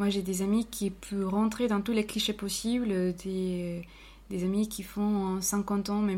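A woman with a Spanish accent speaks very slowly in a dark, mellow tone at a medium pitch, her intonation monotone and flat. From Colombia, Cali. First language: Spanish (speaking French). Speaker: office worker. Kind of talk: casual chat. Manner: halting.

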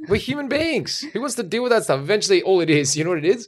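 Very fast speech in an Australian accent, very wide pitch swings, very clean recording with a silent background. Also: man. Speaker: podcast host and comedian. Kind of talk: casual chat.

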